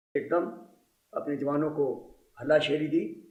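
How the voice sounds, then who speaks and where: There is audible room echo. A man talks with a fairly high pitch. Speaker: war veteran. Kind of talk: testimony.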